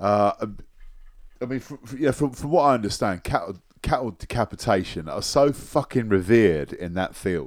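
On a very clean recording with a silent background, a man of medium pitch speaks at a moderate pace with lively intonation and big swings in loudness. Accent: British. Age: 40s. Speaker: podcast host. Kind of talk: casual chat. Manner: halting.

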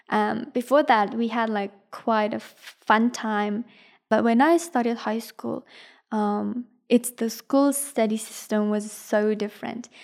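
In an Afghan accent, a woman speaks at a fairly slow pace with a fairly high pitch and fairly even intonation, on a very clean recording with a silent background. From Afghanistan. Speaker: university student and refugee. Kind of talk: personal testimony interview. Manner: hesitant, many filler ums.

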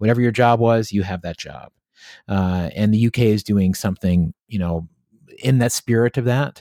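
Recorded dry and close with no echo and a silent, very clean background, a man with an American accent speaks at a fairly low pitch in a dark, mellow tone with ordinary pitch variation. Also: moderate pace. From US South, southwest Virginia (Appalachia). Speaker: tech company co-founder and author. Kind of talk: interview conversation.

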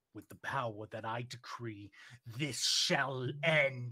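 Someone performs an assumed character voice, moving along fairly slowly. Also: man, medium pitch for a man. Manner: booming, resonant.

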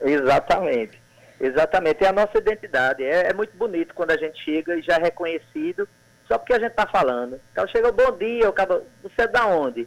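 A man's high voice races at a very fast pace, its pitch swinging very widely. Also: dry, close sound with no echo. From Sertão of Paraíba, Brazil (Cajazeiras). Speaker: poet and actor. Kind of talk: casual radio interview.

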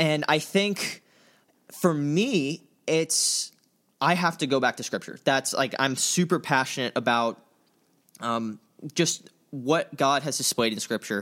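In an American accent with a bright, sharp tone, the speaker goes at a fairly slow pace with ordinary pitch variation and long, frequent pauses on a very clean recording with a silent background. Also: man, fairly high pitch for a man. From US South, Tampa, Florida. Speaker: church intern and podcast co-host, college student. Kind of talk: casual chat.

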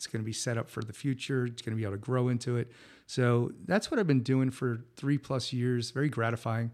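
An unremarkable speaking voice at a fairly quick pace, fairly even in intonation, in a very clean recording with a silent background. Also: man. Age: 50s. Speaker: podcast host. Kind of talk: solo monologue. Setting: home studio.

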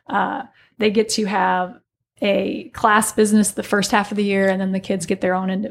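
In a plain, everyday voice, a woman with an American accent speaks at a moderate pace and medium pitch on a very clean recording with a silent background. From US Midwest, southern Illinois (Alton, Godfrey area). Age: 40s. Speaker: business instructor and yoga studio owner. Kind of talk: casual interview chat. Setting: studio.

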